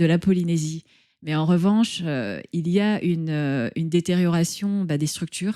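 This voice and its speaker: A woman's fairly low-pitched voice with a dark, mellow tone at a fairly slow pace, on a very clean recording with a silent background. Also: ordinary pitch variation. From French Polynesia (Tahiti). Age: 50s. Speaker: entrepreneur. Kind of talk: interview.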